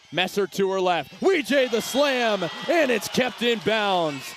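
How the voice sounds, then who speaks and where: Music plays in the background as a man speaks at a fairly slow pace with lively intonation. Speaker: sports play-by-play announcer. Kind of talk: live volleyball play-by-play call.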